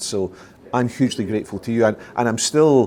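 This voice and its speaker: The speaker is a man with a Scottish accent. His pitch varies in an ordinary way. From Scotland. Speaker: retired dental cancer specialist, charity founder. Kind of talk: interview. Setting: at a conference. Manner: hesitant, many fillers.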